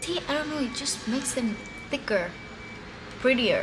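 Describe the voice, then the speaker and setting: Someone speaks with a Spanish accent amid audible room echo and noticeable background noise. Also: woman. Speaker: beauty vlogger. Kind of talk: tutorial. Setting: balcony. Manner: casual.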